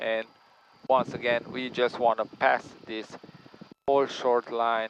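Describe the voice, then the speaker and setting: Speaking at a very slow pace with long, frequent pauses, the man keeps a medium pitch and a monotone, flat intonation. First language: not English. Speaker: flight instructor. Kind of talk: in-flight instruction. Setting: small plane cockpit.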